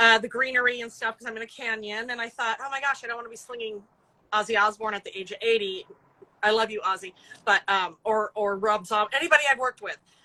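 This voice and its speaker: This woman talks very fast at a fairly high pitch, her intonation fairly even while her loudness swings widely. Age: 50s. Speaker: rock music publicist and animal sanctuary founder. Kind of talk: casual interview. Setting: video call from outdoors in a cattery.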